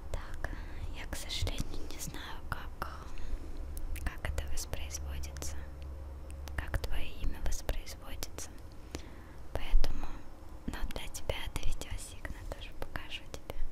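Long, frequent pauses break up very slow speech, with a dry sound with no echo and loud background noise behind it. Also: woman. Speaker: video blogger. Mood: relaxed, a bit flustered. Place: home room. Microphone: handheld.

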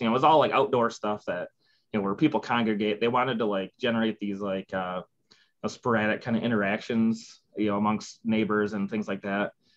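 A man's fairly low voice at a moderate pace against a quiet background. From Midwestern US. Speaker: civil engineer. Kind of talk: interview answer. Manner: casual, conversational. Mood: relaxed, candid, amused. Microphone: video call.

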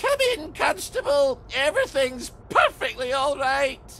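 Putting on a character voice, a man speaks extremely high with big pitch swings, a bright, sharp tone and a fairly slow pace over faint background noise.

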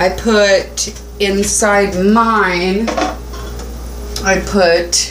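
A woman's voice over noticeable background noise. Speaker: home cook vlogger. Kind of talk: casual cooking tutorial. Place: kitchen. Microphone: phone near.

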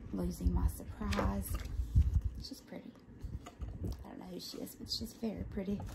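A woman talks at a moderate pace with an American accent. Long, frequent pauses break her speech amid loud background noise. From Southern United States. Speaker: ASMR unboxing creator. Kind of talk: ASMR unboxing show and tell. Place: home room. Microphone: phone near.

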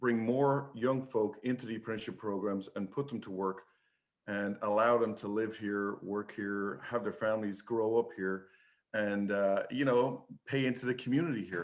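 In an Irish accent, a man speaks at a medium pitch with ordinary pitch variation. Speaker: public commenter, trade union advocate. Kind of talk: public comment at board meeting.

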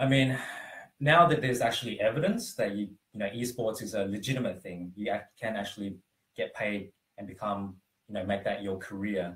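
A man with an Australian accent speaks at a fairly low pitch, with ordinary pitch variation. He leaves long pauses, and they come often. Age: 20s. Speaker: former esports player. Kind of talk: interview. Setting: live stream. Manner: halting, many fillers. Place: home room. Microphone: camera far.

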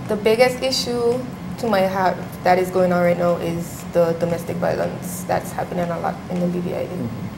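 Against noticeable background noise, a woman talks at a moderate pace in a fairly low pitch with ordinary pitch variation. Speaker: pageant contestant; guest. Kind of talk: rehearsed self-introduction; TV interview. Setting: TV studio. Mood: earnest, serious topic. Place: studio.

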